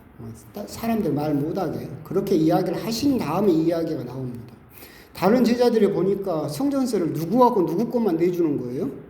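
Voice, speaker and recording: With audible room echo, a man talks at a high pitch and a fairly quick pace, using lively intonation. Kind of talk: sermon. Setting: church.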